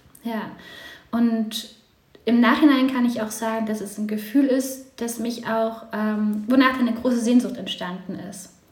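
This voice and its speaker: Through noticeable background noise and audible room echo, a woman talks at a fairly slow pace with fairly even intonation and big swings in loudness. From eastern Germany, then moved west. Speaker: podcast guest, mother. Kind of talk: casual chat.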